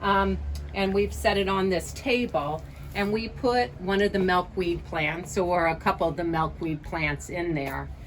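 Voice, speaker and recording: Over noticeable background noise, a woman speaks at a fairly slow pace with a fairly low pitch. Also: ordinary pitch variation. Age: 60s. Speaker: life coach. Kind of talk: casual video talk. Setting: outdoors. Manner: casual, with many fillers.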